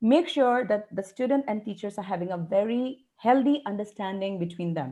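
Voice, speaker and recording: With an Indian accent, a woman speaks at medium pitch in a dark, mellow tone with lively intonation. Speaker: English educator. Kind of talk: webinar interview. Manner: fast.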